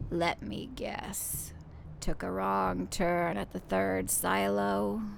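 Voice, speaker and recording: A woman puts on a raspy character voice at a very deep, low pitch, speaking at a very slow pace. Clear background noise is present. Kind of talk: noir detective talk. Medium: game stream. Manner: hard-boiled, gruff.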